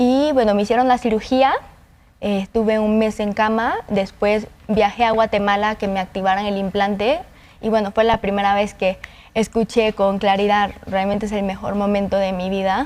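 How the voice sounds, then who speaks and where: With a normal speaking voice, a woman talks at a moderate pace and medium pitch, her intonation fairly even. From Honduras. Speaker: cochlear implant user, volunteer. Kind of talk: interview testimony. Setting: studio.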